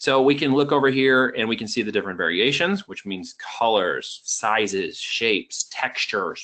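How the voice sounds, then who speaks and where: The speaker is a man. His voice moves through an ordinary range of pitch. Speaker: ecommerce trainer. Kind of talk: webinar training presentation. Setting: online webinar with screen share. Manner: fast; casual, energetic.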